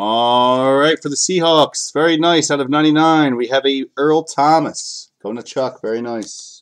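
A man with an ordinary speaking voice talks at a fairly slow pace with hardly any pauses, his pitch fairly high with ordinary pitch variation. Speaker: card breaker. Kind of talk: live sales stream. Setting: live video stream. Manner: casual, chatty.

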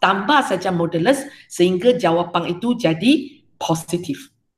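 Audible room echo surrounds a woman at medium pitch. She speaks at a fairly slow pace with lively intonation. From Malaysia. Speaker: secondary school maths teacher. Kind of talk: online class lecture. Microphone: webcam.

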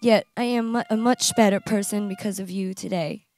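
Faint music plays behind a woman whose fairly high pitch holds fairly even intonation at a moderate pace, the sound dry with no echo. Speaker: bride. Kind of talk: wedding vows. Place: garden. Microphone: handheld.

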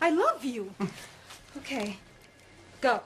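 Putting on a character voice, a woman speaks slowly in a high pitch with big pitch swings and a husky, rough edge.

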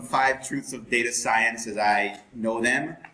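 The speaker is a man. Audible room echo surrounds his voice. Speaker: presenter. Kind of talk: lecture. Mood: jokey, relaxed. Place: classroom. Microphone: camera far.

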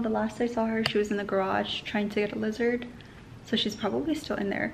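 Over faint background noise, a woman talks at a fast pace and medium pitch with fairly even intonation.

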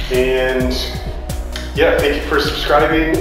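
Strong room echo surrounds a man's voice, with clear music in the background. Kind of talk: casual vlog chat. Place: workshop. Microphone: camera far.

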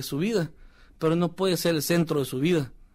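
A man talks at a moderate pace. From El Salvador. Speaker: former professional footballer. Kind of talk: testimony. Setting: studio.

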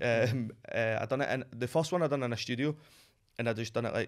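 A man with a Glasgow accent speaks at a very fast pace. The background is quiet. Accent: Scottish (Glasgow). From Glasgow, Scotland. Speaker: streetwear brand founder, former model. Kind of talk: podcast interview answer. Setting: studio. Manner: casual, excited. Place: studio. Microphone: studio mic.

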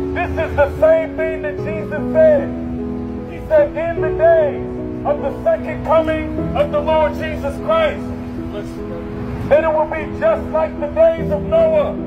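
Loud music plays in the background as a man speaks at a very slow pace. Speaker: street preacher. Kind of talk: sermon. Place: street.

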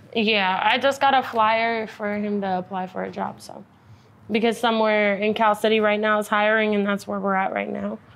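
Speaking at a moderate pace, a woman with an American accent uses a fairly high pitch and a monotone, flat intonation. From California, small town. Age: 18. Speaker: sex worker; interviewee. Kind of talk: interview. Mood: subdued, matter-of-fact about hardship. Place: studio.

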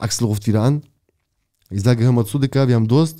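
A man speaks in a dark, mellow tone with ordinary pitch variation. The background is quiet. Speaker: former prisoner. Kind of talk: casual interview storytelling. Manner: fast. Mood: animated storytelling. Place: studio. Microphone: studio mic.

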